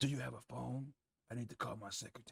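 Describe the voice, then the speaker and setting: A man's raspy, put-on character voice at a very fast pace. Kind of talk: hard-boiled detective voice-over. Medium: game stream. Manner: dry, sardonic, world-weary.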